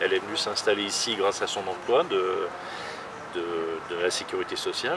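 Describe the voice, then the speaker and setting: Background noise is noticeable in this clip. Over it, a man talks. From France, Lyon. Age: 60s. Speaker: local resident. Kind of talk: interview.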